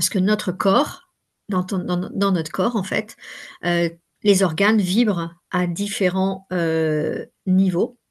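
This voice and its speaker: This woman talks at a very slow pace. Her intonation stays fairly even. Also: quiet background. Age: 60s. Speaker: workshop facilitator and coach. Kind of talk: interview. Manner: hesitant, many fillers.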